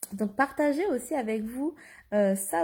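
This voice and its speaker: Very slow speech comes from a woman with a fairly high pitch and ordinary pitch variation. Her tone is dark and mellow on a very clean recording with a silent background. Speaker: life coach. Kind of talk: Facebook live monologue. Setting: live video stream. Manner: hesitant, many fillers.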